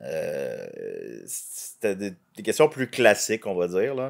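A man speaks with a Quebec accent. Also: quiet background. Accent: Québécois French. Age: 30s. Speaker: comedian. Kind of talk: casual chat. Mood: relaxed, joking storytelling. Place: home room. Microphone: studio mic.

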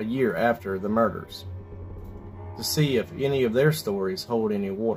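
Music sounds faintly in the background. A man talks at a moderate pace. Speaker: paranormal channel host. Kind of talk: storytelling intro. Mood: calm, slightly ominous.

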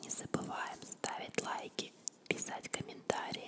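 Soft-spoken whispering moves at a fairly slow pace over loud background noise. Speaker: video host. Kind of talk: casual vlog chat, soft ASMR-like. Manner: soft close-mic ASMR whisper. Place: home room. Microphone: studio mic.

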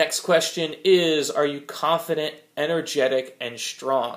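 Fairly even intonation from a man. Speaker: vlogger starting a diet plan. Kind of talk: casual vlog chat. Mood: frank, self-critical. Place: home room. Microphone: phone near.

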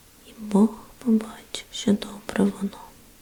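A woman's gentle tone at a very slow pace, with noticeable background noise. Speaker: ASMR Bible reader. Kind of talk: ASMR Bible reading, sleep relaxation. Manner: whispered, gentle.

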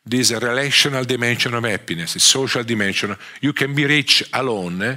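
Over a quiet background, a man with a medium pitch and a bright, sharp tone talks at a fairly quick pace with ordinary pitch variation. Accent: strong Italian. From Italy. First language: Italian. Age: 50s. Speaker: economics professor. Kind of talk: lecture. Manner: halting. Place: hall.

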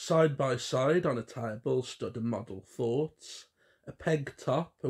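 The text is read out in a natural voice whose pitch moves in an ordinary way.

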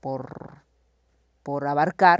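Against a quiet background, a woman speaks at a very slow pace in a very deep, low pitch, with ordinary pitch variation and a dry sound with no echo. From Oaxaca, Mexico (Tlaxiaco area); Oaxaca, Mexico. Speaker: actress and film director; guest. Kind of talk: casual conversation. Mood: reflective, earnest. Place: hall. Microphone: lapel.

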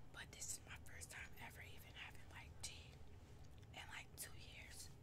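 A woman speaks at a medium speed amid loud surrounding noise. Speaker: ASMR mukbang creator. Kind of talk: ASMR mukbang eating talk.

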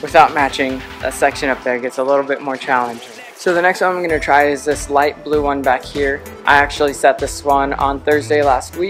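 A man at a fairly quick pace with ordinary pitch variation, clear music playing in the background. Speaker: climbing vlogger. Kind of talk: casual vlog chat. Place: gym. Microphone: phone near.

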